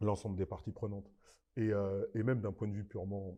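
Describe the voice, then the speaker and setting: Somewhat breathy, this man has a dark, mellow tone and fairly low pitch. He moves at a moderate pace with ordinary pitch variation. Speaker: basketball coach. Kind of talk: podcast interview. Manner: animated.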